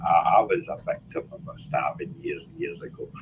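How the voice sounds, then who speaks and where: A man is talking. He has a Glaswegian accent. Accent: Glaswegian Scottish. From Scotland, Glasgow. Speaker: life coach speaking as a guest. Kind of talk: casual talk in an online audio room.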